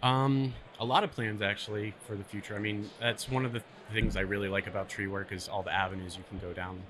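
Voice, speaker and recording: Someone speaks at a very fast pace with fairly even intonation amid noticeable background noise. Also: man, fairly low pitch for a man. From Pennsylvania. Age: 20s. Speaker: arborist. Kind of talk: casual interview. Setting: trade show.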